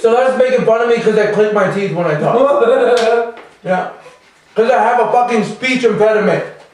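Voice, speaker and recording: A man speaks at a moderate pace with an extremely high pitch and fairly even intonation over noticeable background noise. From Calgary.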